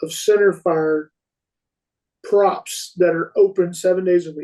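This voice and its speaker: A man's voice with a Texan accent. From Texas, Fort Worth. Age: 40s. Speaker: competitive rifle shooter. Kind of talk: podcast interview. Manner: animated.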